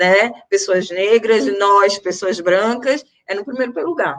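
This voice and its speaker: A woman with a medium-pitched voice speaks at a very slow pace with ordinary pitch variation. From Brazil, Recife (Pernambuco, Northeast). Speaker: teacher and activist. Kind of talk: panel talk in a live stream. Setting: online live stream.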